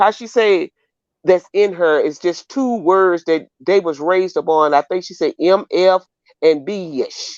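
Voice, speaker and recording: A woman with a Mississippi accent talks at a fairly slow pace against a quiet background, her voice dry and close with no echo. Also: medium pitch for a woman, ordinary pitch variation. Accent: US Southern (Mississippi). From Mississippi Delta. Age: 60s. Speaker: caller on livestream. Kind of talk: casual chat.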